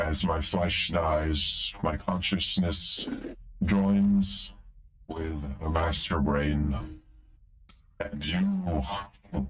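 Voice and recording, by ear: A man uses a put-on character voice in an extremely low pitch with a fairly bright tone and fairly even intonation. He talks at a very slow pace with long, frequent pauses, and the room echo is audible.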